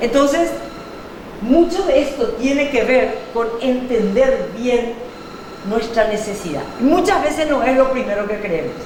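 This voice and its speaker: Over noticeable background noise and audible room echo, a woman talks fairly slowly in a high-pitched voice with an animated tone. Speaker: workshop speaker on digital transformation. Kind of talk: workshop talk. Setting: live workshop with audience. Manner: animated, engages audience with questions. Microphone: mic cutting out, then turned off.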